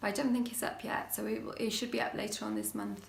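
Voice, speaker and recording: A woman speaks with a British accent. Audible room echo and noticeable background noise come through. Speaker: witchcraft YouTuber. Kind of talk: casual vlog talk. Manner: hesitant, many fillers.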